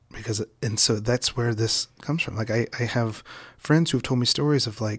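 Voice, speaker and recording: The speaker has an American accent and sounds somewhat breathy. The pace is moderate, on a very clean recording with a silent background. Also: man. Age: 20s. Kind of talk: casual interview conversation. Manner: animated, laughing often.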